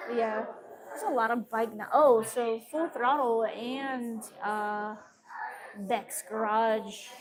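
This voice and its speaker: A woman's fairly high voice, very slow, with fairly even intonation and long, frequent pauses. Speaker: podcast host. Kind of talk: casual chat. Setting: brewery. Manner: loud.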